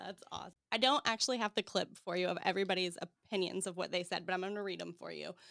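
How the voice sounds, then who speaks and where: A playful, very fast woman's voice with a bright, sharp tone and vocal fry, on a very clean recording with a silent background. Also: medium pitch for a woman, fairly even intonation. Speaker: podcast host. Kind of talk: casual chat interview. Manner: laughs often, playful.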